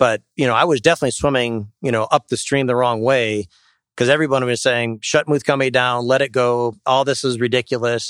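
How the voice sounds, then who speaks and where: In a very clean recording with a silent background and a dry, close sound with no echo, a man with an Upper Midwest accent speaks at a fairly quick pace, medium pitch and fairly even intonation. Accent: Upper Midwest American. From Wisconsin, Sheboygan. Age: 50s. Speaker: company CEO. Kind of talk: live interview. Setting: live event at a club venue.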